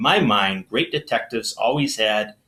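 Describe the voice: The recording is plain reading aloud.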